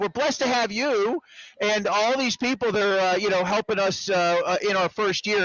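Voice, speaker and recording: The delivery is energetic, with lively intonation at a moderate pace. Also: man. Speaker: sports show host. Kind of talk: sports talk. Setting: live venue broadcast.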